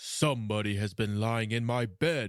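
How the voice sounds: A man does a gruff, put-on character voice. His pitch is medium and his pace moderate.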